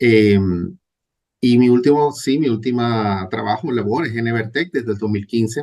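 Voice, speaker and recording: A man speaks at a fairly slow pace and medium pitch. He has a plain, everyday voice with ordinary pitch variation. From Venezuela. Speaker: database administrator. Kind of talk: interview.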